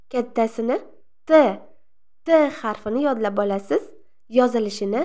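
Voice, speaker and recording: A woman speaks with a high pitch and ordinary pitch variation. The recording is very clean, the background silent. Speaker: Russian language teacher. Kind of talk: tutorial. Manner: slow, repetitive enunciation.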